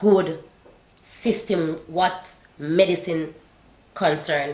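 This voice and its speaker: Audible room echo surrounds a woman speaking at a very slow pace with a non-native accent. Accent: non-native accent, says she still has one. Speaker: YouTuber sharing life abroad. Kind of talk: casual chat.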